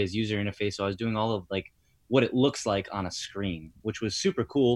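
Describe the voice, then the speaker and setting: A man with an American accent speaks at a medium pitch in a normal speaking voice with ordinary pitch variation over a quiet background. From Rhode Island, US. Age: 30s. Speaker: personal trainer. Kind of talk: casual chat. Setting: remote call.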